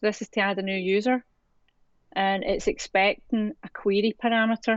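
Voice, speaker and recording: In a Scottish accent, a woman talks at a fairly slow pace, with a dry, close sound and no echo. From Scotland. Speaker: developer educator. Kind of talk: live coding tutorial. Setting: live stream.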